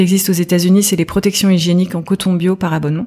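This woman's voice sits at a fairly low pitch. Noticeable background noise runs behind it. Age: 40s. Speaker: entrepreneur, former health journalist. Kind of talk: casual interview.

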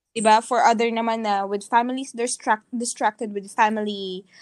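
A woman talks at fairly high pitch and a fairly quick pace. The recording is very clean, with a silent background and a dry, close sound with no echo. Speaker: podcast co-host. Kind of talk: casual chat. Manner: animated, laughs often.

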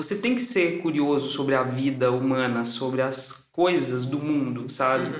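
Amid noticeable background noise and audible room echo, a man with a fairly high pitch and ordinary pitch variation talks at a moderate pace, keeping his loudness very even and hardly pausing. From Belo Horizonte, Minas Gerais, Brazil. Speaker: theatre director and acting teacher. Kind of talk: casual interview.

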